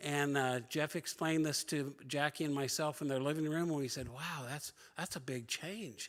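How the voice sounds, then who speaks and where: In a plain, everyday voice, a man speaks at a fairly high pitch and moderate pace on a very clean recording with a silent background. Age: 60s. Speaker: church member and former missionary. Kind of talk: personal testimony to church class.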